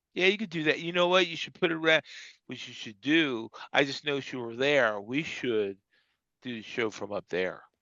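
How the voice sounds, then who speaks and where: A man with a fairly high pitch speaks at a fairly quick pace, with lively intonation and big swings in loudness. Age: 60s. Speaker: skating coach and show co-host. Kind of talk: casual chat. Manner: halting.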